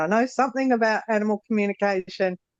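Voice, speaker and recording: In a strong Australian accent, a woman speaks with ordinary pitch variation, the sound dry and close with no echo. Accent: Australian, fairly strong. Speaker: former horse trainer, course participant. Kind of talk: casual interview conversation. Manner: halting, many fillers.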